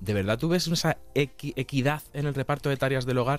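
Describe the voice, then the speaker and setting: A plain, everyday voice from a man, medium in pitch. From Castilla-La Mancha, Spain. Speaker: nutritionist, podcast host. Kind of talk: casual interview chat.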